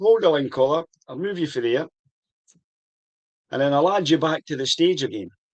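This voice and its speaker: A man with a Scottish accent speaks at a fairly quick pace, pausing long and often. His pitch is fairly high. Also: ordinary pitch variation. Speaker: whisky tasting show host. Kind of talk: casual chat. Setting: video call livestream.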